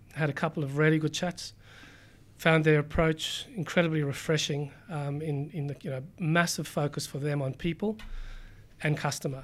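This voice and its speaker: A man with a fairly high, somewhat breathy voice speaks at a fairly quick pace with fairly even intonation, in a very clean recording with a silent background. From South Africa. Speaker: company CEO. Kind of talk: interview. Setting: studio, in person. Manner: halting, with repeated words.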